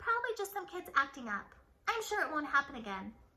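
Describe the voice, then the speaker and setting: Doing a put-on character voice, a woman talks at a very fast pace in a high, squeaky, raspy voice with very wide pitch swings. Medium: read story. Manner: stern, bossy.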